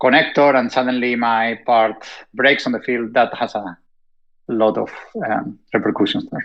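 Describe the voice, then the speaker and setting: Speaking at a moderate pace with a strong Spanish accent, a man keeps a medium pitch and a monotone, flat intonation. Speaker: robotics industry panelist. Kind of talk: panel discussion.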